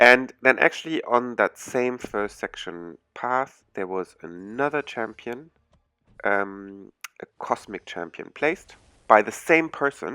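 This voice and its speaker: With a German accent, a man of medium pitch speaks at a very slow pace with a bright, sharp tone and lively intonation. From Germany. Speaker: gaming YouTuber. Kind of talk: gameplay commentary. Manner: hesitant, many fillers.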